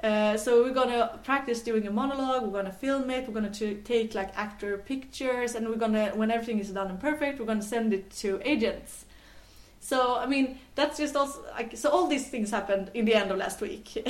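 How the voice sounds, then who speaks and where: Speaking with a Swedish accent, a woman moves at a fairly quick pace with ordinary pitch variation. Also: fairly high pitch for a woman. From Sweden, island near Gothenburg (west coast). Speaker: tech entrepreneur. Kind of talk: interview. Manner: halting, many fillers.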